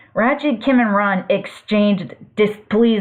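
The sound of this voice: The voice is an unforced reading voice. It is heard throughout the clip.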